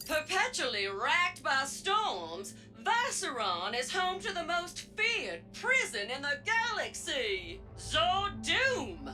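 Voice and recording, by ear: A woman speaks slowly in a cartoonish character voice, high-pitched with very wide pitch swings and a bright, sharp tone, over faint music in the background.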